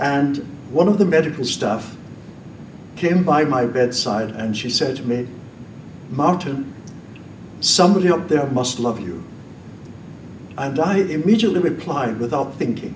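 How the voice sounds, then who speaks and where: Lively intonation from a man with a fairly high pitch, at a moderate pace with long, frequent pauses and audible room echo. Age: 80s+. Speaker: former priest, debater. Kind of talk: public debate speech. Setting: stage with audience.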